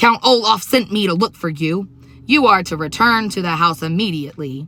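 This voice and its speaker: A woman's put-on character voice, croaky and menacing, medium-pitched with lively intonation at a moderate pace. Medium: read story. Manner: menacing, bullying.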